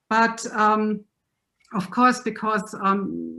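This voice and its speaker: Speaking at a very slow pace, a woman with a German accent has a bright, sharp tone, fairly high pitch and fairly even intonation. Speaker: lecturer. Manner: halting.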